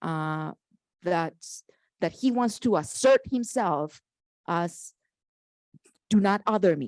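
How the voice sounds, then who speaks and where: Her medium-pitched voice has lively intonation, and the woman is recorded very cleanly, dry and close with no echo over a silent background. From Colombia. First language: Spanish. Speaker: panelist. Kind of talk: panel discussion.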